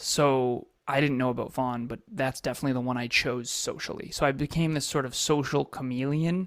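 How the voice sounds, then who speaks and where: A man with an American accent and an unremarkable speaking voice talks at a fairly quick pace with hardly any pauses, a medium pitch and fairly even intonation, on a very clean recording with a silent background. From Massachusetts. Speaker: entrepreneur and coach. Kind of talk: interview life story.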